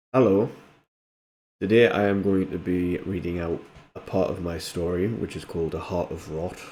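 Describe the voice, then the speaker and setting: A man's very deep, low voice with a dark, mellow tone and a North East England accent, fairly even intonation, a moderate pace and long, frequent pauses, on a very clean recording with a silent background. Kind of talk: casual talk to camera. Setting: home recording, modest audio quality.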